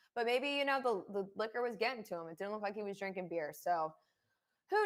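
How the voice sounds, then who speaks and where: Her Philadelphia accent comes through at a fairly quick pace. This woman's fairly high pitch carries lively intonation. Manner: casual, conversational.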